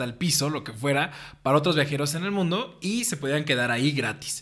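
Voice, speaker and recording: This man has a fairly high pitch, a bright, sharp tone, a moderate pace and lively intonation. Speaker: podcast host. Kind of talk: scripted narration.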